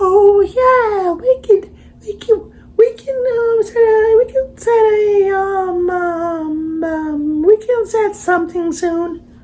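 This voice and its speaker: Extremely high, put-on character voice at a very slow pace. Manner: polite, hesitant.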